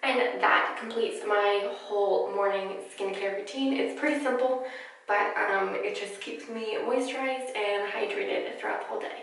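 Strong room echo surrounds the voice. The speech moves at a moderate pace. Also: woman. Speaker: beauty vlogger. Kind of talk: tutorial. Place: bathroom.

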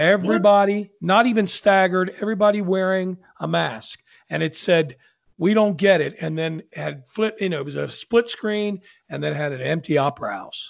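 Against a quiet background, a man with a high-pitched voice talks at a moderate pace. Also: ordinary pitch variation. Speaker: opera singer, podcast host. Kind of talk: casual podcast talk. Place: home room. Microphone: studio mic.

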